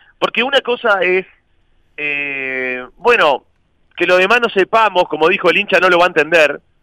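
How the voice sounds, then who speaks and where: A man with a Uruguayan accent, high-pitched, bright and sharp in tone, lively in intonation, at a moderate pace, in a dry, close recording with no echo. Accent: Rioplatense Spanish (Uruguayan). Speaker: youtuber and club election candidate. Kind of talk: casual chat.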